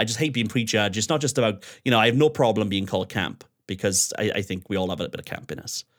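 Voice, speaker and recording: A man talks at a very fast pace in an animated tone, with lively intonation. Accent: South Wales. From Wales, Swansea. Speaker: DJ and radio host. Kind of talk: casual chat. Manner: animated, outgoing.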